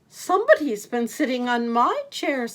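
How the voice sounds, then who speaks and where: A female-sounding voice puts on a character voice, high-pitched and at a moderate pace. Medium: read story.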